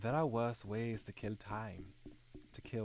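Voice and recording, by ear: Text is being read. It is reading aloud in a natural voice.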